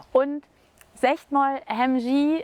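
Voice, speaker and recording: A woman's voice, dry and close with no echo. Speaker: Low German language coordinator and podcast host. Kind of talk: casual conversation.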